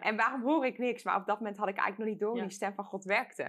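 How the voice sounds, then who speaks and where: There is a quiet background behind this woman's voice. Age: 20s. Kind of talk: casual chat about faith. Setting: studio.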